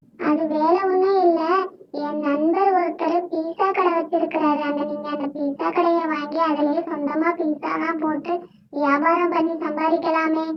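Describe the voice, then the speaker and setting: This cartoonish character voice sits at an extremely high pitch. It moves at a fairly slow pace with monotone, flat intonation. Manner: chatty, encouraging.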